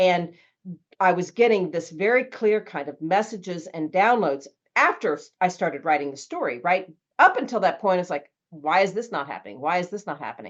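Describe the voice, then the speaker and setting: A woman with a normal speaking voice at medium pitch talks at a fairly quick pace, her intonation lively and her loudness swinging widely. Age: 60s. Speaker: author and traveler. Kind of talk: podcast interview.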